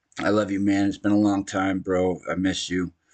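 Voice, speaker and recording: A man talks at a fairly slow pace. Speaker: gaming streamer. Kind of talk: casual chat. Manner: soft-spoken.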